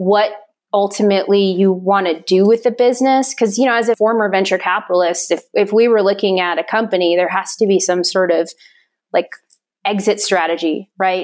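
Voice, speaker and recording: A woman with an unremarkable speaking voice and an American accent speaks at a medium pitch with fairly even intonation and very even loudness. The recording is very clean, with a silent background. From US Midwest, western North Dakota (Fort Berthold Reservation). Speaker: brewery founder and entrepreneur. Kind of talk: interview.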